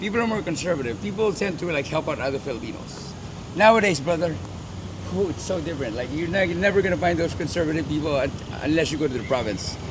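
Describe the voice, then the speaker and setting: Over noticeable background noise and audible room echo, a man speaks very fast at a fairly high pitch with lively intonation. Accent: American. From Philippines, later grew up in West Covina, California. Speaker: deportee living in Manila. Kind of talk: casual interview chat.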